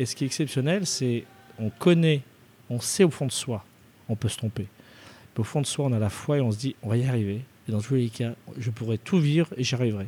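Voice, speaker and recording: With long, frequent pauses, a man talks at a medium pitch and ordinary pitch variation. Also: fairly quick pace. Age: 30s. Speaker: chef. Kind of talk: interview. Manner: halting.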